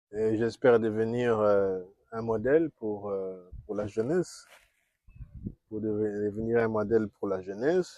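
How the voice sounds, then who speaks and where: A man with a Congolese accent speaks in a fairly low pitch and a dark, mellow tone, with ordinary pitch variation. His pace is fairly slow, broken by long, frequent pauses. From DR Congo. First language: Kikongo (speaking French). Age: 60s. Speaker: diplomat and former university teacher. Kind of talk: interview. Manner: halting.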